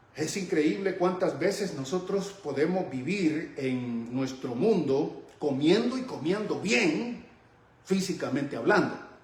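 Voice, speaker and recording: Very slow, lively intonation from a man with a high pitch, amid audible room echo and noticeable background noise. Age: 60s. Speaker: Bible teacher. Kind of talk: sermon-style Bible teaching.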